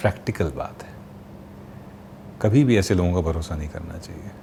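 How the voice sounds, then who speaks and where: This man's voice shows ordinary pitch variation. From Kanpur, India. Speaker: voice artist. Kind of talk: interview answer.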